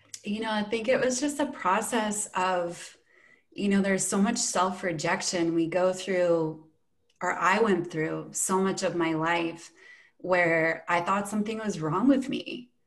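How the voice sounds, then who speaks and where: A woman's medium-pitched voice at a fairly slow pace, with ordinary pitch variation and audible room echo. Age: 40s. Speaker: breathwork facilitator. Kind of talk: casual chat.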